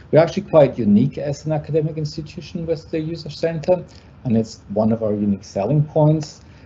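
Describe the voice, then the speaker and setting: A fairly high, somewhat breathy male voice with a German accent, fairly quick pace and lively intonation. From Germany. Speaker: university lecturer. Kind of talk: presentation. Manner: halting.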